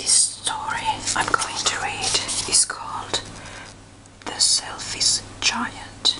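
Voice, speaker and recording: A whisper at a very slow pace, broken by long, frequent pauses, with noticeable background noise. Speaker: ASMR reader. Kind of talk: casual talk to camera. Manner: whispered.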